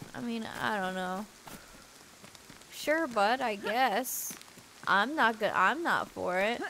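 The delivery is very slow, with lively intonation and long, frequent pauses. Noticeable background noise is present throughout. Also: woman, fairly high pitch for a woman. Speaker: gaming streamer. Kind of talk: casual chat. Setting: live stream.

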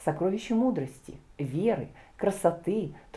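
It's a natural reading voice with lively intonation.

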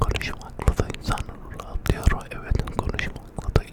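Someone whispers at a very slow pace amid noticeable background noise. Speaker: ASMR creator. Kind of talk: ASMR whisper to camera. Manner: whispered, soft, relaxing.

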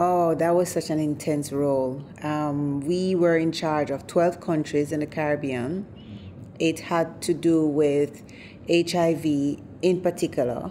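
With light background noise behind her, a woman speaks at a fairly slow pace. Her voice is very deep and low, with fairly even intonation. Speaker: interview guest. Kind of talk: interview answer. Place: studio.

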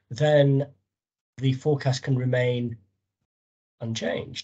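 A man speaks in a fairly high, somewhat breathy voice. The background is quiet. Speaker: academic discussant. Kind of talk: academic discussion. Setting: video call. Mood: interested, polite. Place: home room. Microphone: video call.

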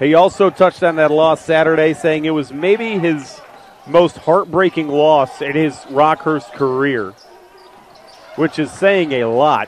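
Recorded dry with no echo and light background noise, a man talks at a fairly slow pace with ordinary pitch variation. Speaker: sports play-by-play announcer. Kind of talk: basketball play-by-play broadcast. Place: stadium. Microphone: headset.

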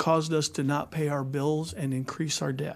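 This is a man speaking. He has an American accent. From Kansas. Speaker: state legislator; witness. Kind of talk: hearing testimony; testimony. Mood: earnest, critical. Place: hall. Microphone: podium.

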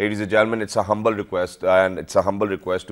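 The background is quiet as a man speaks. He talks at a very fast pace in a flat monotone. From Pakistan. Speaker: TV show host. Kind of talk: TV interview. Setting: TV studio. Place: studio.

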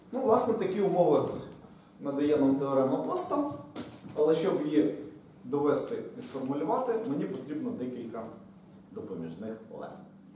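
A man talks at a moderate pace in a fairly high pitch, with very wide pitch swings and long, frequent pauses. The room echo is audible, and there is light background noise. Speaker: university lecturer. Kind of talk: lecture. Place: classroom. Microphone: camera far.

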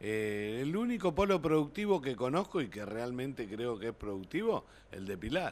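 At a moderate pace, a man speaks with very wide pitch swings. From Argentina, Buenos Aires province. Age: 50s. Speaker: city council candidate, union member, train driver; council candidate. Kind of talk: TV interview. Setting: TV studio. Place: studio. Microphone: podium.

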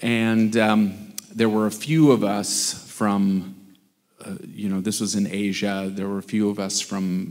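A man speaks at a fairly slow pace with a fairly low pitch. His tone is slightly mellow and his intonation fairly even.

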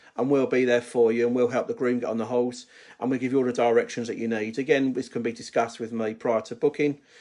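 Against a quiet background, the speaker goes at a very fast pace with fairly even intonation. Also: man. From United Kingdom. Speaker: wedding toastmaster. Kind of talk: casual live talk to camera. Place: home room. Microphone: phone near.

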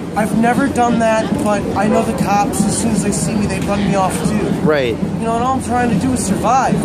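Loud background noise sits under fairly quick speech with ordinary pitch variation. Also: man. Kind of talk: interview answer. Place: street. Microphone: phone near.

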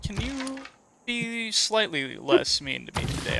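A man talks with very wide pitch swings. Noticeable background noise is present. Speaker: gaming video co-host. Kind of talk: casual chat over gameplay. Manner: halting, many fillers.

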